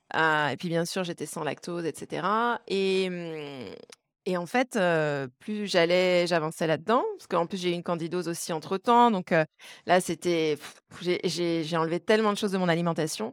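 A woman speaks at a fairly slow pace with a fairly low pitch. Her loudness swings widely, while her pitch varies in an ordinary way. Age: 30s. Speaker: wellness coach. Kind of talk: casual interview. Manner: halting, repeats words.

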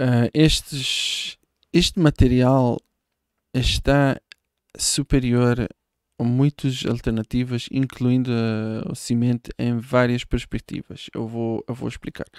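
On a very clean recording with a silent background, the speech moves at a very slow pace with fairly even intonation. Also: man, medium pitch for a man. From Israel. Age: 30s. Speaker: hemp building materials entrepreneur. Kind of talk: casual interview. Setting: studio. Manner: halting.

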